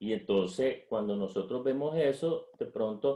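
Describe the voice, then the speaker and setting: A man's fairly high voice with a dark, mellow tone, at a very slow pace. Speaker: economist and business leader. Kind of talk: interview. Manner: halting.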